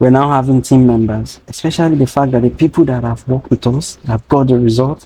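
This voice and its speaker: A man speaks at a very fast pace with a medium pitch. His tone is dark and mellow, and his intonation fairly even. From Nigeria. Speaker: data training founder. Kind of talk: interview conversation.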